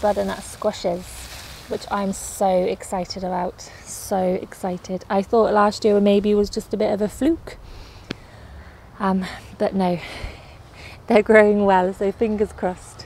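With a dry, echo-free sound and light background noise, a woman speaks fairly slowly with fairly even intonation and long, frequent pauses. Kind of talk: casual vlog chat. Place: garden. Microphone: phone near.

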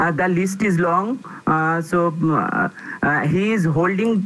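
Intonation stays fairly even as a man talks. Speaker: speaker. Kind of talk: formal speaker introduction. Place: home room. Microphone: earbuds.

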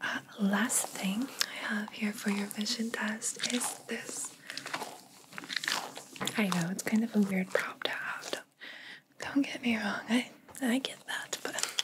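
Loud background noise surrounds a soft-spoken woman with a gentle tone. She talks at a very slow pace with long, frequent pauses. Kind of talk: soft-spoken roleplay talk to the viewer. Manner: soft, close, gentle ASMR voice. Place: home room.

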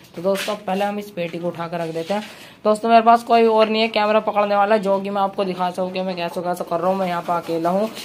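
A woman at a fairly quick pace with hardly any pauses, over light background noise. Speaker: poultry keeper vlogger. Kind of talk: casual vlog chat. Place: farm machine. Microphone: phone near.

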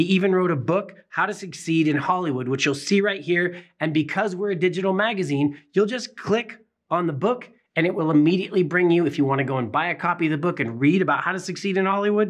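Talking at a very fast pace, a man with a high voice uses ordinary pitch variation against a quiet background. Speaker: magazine publisher host. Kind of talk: presenter commentary. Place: studio.

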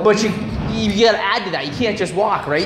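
Light background noise and audible room echo accompany a man speaking with lively intonation. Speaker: vlogger and gym partner. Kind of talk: casual gym chat. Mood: friendly, encouraging. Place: gym. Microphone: phone near.

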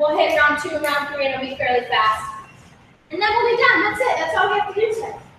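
A raised, projected voice with an upbeat tone moves at a very fast pace through very wide pitch swings. Strong room echo and light background noise are present. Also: woman, extremely high pitch for a woman. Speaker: fitness instructor. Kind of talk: live-streamed follow-along workout class, giving timed exercise cues. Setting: video call. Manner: upbeat, encouraging, brisk coaching with clear countdown cues. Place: gym.

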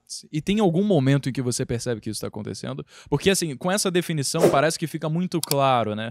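Through noticeable background noise, a man talks at a very fast pace with lively intonation, in a dry sound with no echo. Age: 20s. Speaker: podcast host and content creator; podcast host, content creator. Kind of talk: podcast interview. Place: home room. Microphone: handheld.

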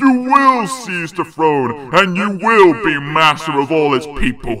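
Fairly slow delivery from a man in a put-on character voice. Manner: sinister, urging.

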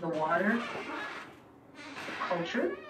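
A fairly low-pitched woman's voice against noticeable background noise. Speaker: radio guest. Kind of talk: interview answer. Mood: earnest, concerned. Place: studio. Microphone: camera far.

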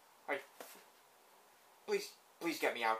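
A man performs in a put-on character voice. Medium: dub. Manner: excitable.

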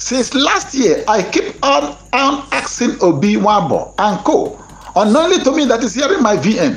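Someone with a Nigerian accent speaks at a fairly slow pace over noticeable background noise. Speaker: online commentator on grant news. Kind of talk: angry monologue. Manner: impassioned, preacher-like.

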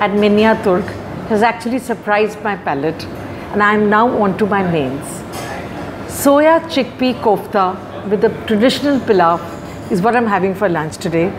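Noticeable background noise accompanies the recording. A woman talks at a moderate pace. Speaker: food reviewer. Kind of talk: restaurant review to camera. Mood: warm, enthusiastic. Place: cafe. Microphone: lapel.

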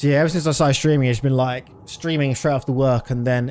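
A man with a British accent over light background noise. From Britain. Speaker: video game streamer. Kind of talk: live gameplay commentary. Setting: live stream. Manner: casual. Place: home room. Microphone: studio mic.

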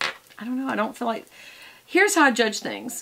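With light background noise behind her, a woman speaks in lively intonation. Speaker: beauty vlogger. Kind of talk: casual vlog chat. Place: home room. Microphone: phone near.

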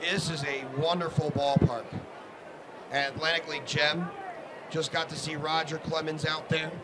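A man speaks in a fairly high pitch with long, frequent pauses. Noticeable background noise runs underneath. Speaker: sports broadcaster. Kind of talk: live baseball play-by-play commentary. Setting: live stream from ballpark broadcast. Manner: fast, rhythmic, energetic play-by-play delivery.

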